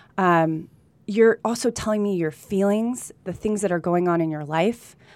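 A woman speaks with an American accent in an unremarkable speaking voice, at medium pitch with ordinary pitch variation and a moderate pace, on a very clean recording with a silent background. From California, with time in Colombia. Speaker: real estate agent. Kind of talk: casual interview chat. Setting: studio.

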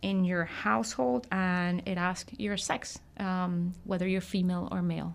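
At a fairly slow pace, a woman speaks in a plain, everyday voice with a medium pitch. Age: 30s. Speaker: nonprofit census project director. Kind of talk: radio interview.

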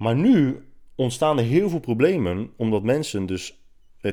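A man speaks at a medium pitch with very wide pitch swings. The recording is very clean, with a silent background. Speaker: podcast host and fitness writer. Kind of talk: casual solo monologue. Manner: hesitant, many filler sounds.

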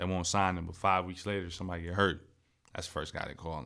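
Speaking at a very fast pace, a man with a very deep, low pitch has a bright, sharp tone and monotone, flat intonation. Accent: American. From US Midwest, Akron, Ohio. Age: 20s. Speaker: professional football player. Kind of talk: casual chat.

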